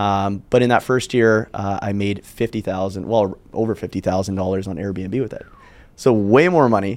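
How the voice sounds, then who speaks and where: In an ordinary speaking voice, a man talks at a fairly low pitch and a moderate pace with fairly even intonation. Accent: Canadian. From Canada, Calgary. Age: 20s. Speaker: short-term rental entrepreneur. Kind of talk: podcast interview.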